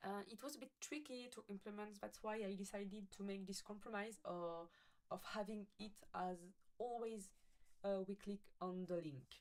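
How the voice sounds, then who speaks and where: A woman with a French accent speaks at a fairly slow pace. Her pitch is medium, with ordinary pitch variation. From France. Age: 20s. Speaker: coding student. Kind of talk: project presentation with screen demo. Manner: halting, many fillers and self-corrections.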